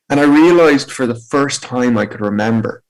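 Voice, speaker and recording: The speaker has an Irish accent and ordinary pitch variation. The pace is moderate. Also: man. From Ireland, County Meath. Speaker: motivational speaker with spinal injury. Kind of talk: personal testimony talk.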